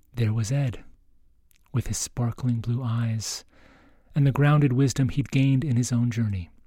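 A somewhat breathy voice with a dark, mellow tone speaks at a moderate pace. The intonation stays fairly even, broken by long, frequent pauses. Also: man, medium pitch for a man. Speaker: priest and podcast host. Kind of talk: scripted narration, intro and outro. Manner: warm, formal.

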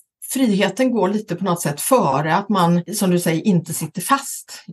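Her voice is somewhat breathy, with lively intonation. The woman speaks at a moderate pace. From western Sweden, Gothenburg area. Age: 50s. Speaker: talent agent, company founder. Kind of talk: interview.

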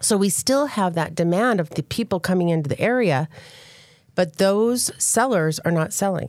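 In a normal speaking voice, a woman talks at a moderate pace and medium pitch with lively intonation and very even loudness. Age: 50s. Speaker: real estate agent. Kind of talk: casual chat.

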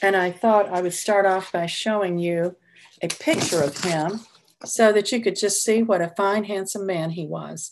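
With an American accent, a woman speaks at a medium pitch and moderate pace, with ordinary pitch variation. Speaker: retired music teacher. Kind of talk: personal storytelling. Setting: video call.

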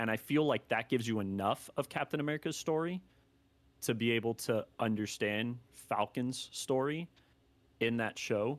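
A plain, everyday voice speaks at a moderate pace. The sound is dry and close with no echo, on a very clean recording with a silent background. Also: man, medium pitch for a man, ordinary pitch variation, very even loudness. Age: 20s. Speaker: anime content creator. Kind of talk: casual chat.

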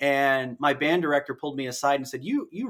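A fairly high-pitched male voice, bright and sharp in tone, with lively intonation and a fairly quick pace, on a very clean recording with a silent background. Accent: American. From US Midwest, northern Indiana. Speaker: university band director. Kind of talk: casual interview.

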